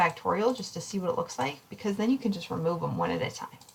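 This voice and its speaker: A woman with a medium pitch is heard against noticeable background noise. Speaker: statistics instructor. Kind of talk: recorded lecture tutorial. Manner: fast; casual, with fillers.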